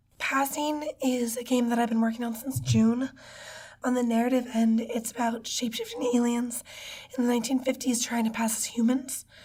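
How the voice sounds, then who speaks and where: Noticeable background noise sits behind a high-pitched woman's voice. Her intonation is monotone and flat. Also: moderate pace. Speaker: game designer. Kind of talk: interview.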